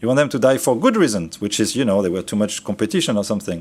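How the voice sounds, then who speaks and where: A man with a French accent and very wide pitch swings. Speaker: trainer. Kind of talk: training lecture. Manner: casual, conversational.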